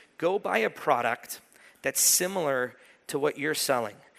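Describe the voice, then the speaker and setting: In a very clean recording with a silent background, a man's fairly high voice sounds bright and sharp, his intonation lively. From Iran. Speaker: sales and go-to-market consultant. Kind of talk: conference keynote. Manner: casual, animated.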